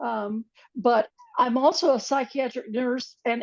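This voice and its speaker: A woman's high-pitched voice at a fairly slow pace. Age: 70s. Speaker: psychiatric nurse and ET experiencer. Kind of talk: panel introduction. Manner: halting.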